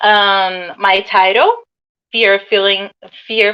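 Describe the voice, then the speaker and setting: Fairly slow pace from a woman with a Portuguese accent and a medium pitch. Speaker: English language student. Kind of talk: student presentation. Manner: halting.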